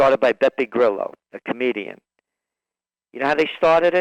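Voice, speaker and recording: A man with a New York accent talks at a fairly quick pace with ordinary pitch variation, the sound dry and close with no echo. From New York City, the Bronx. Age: 60s. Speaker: trend forecaster. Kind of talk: radio interview.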